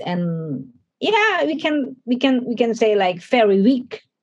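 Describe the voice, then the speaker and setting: This woman has an Indonesian accent and a somewhat breathy sound. Her intonation is lively. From Indonesia (Manado). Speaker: pastor. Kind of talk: interview. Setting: studio. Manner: halting.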